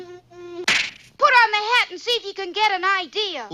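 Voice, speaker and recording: In a cartoonish character voice with extremely high pitch, the speaker keeps a moderate pace. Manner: bright, eager, earnest.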